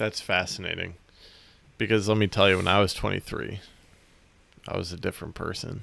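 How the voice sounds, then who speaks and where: Speaking at a moderate pace with long, frequent pauses, a man uses a fairly low pitch, a bright, sharp tone, and fairly even intonation. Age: 20s. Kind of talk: casual chat. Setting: video call.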